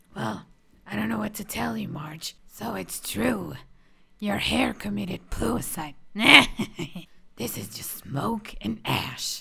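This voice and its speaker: Using a raspy, cartoonish character voice, the speaker moves at a fairly slow pace with long, frequent pauses. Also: woman, very deep, low pitch for a woman. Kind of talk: cartoon voice impression. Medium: solo performance.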